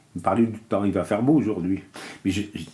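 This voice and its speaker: A man with a somewhat breathy voice. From Kabylie, Algeria. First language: Kabyle (speaking French). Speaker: immigrant worker. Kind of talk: interview. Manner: halting.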